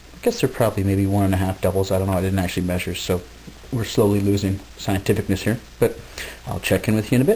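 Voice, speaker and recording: Words come out very fast. Noticeable noise sits in the background. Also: man, fairly low pitch for a man, ordinary pitch variation. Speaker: video blogger. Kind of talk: casual vlog monologue. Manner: hesitant, many fillers.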